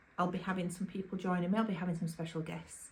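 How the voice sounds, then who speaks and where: A woman speaks with a Yorkshire accent and a fairly low pitch. Her voice is somewhat breathy. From Yorkshire, England. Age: 50s. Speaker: YouTuber. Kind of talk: casual vlog talk to camera. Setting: at home, to camera, drinking wine. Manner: chatty, informal.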